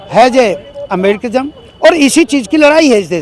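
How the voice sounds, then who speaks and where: The man's pitch is extremely high, and his intonation is lively. Noticeable background noise can be heard. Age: 70s. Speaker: party worker being interviewed. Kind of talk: interview. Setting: room with seated audience.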